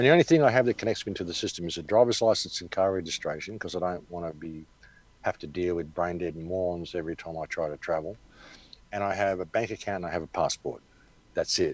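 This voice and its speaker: In an Australian accent, the speech runs very fast with ordinary pitch variation. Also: man, very deep, low pitch for a man, big swings in loudness. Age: 60s. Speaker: activist commentator. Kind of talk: interview. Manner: casual.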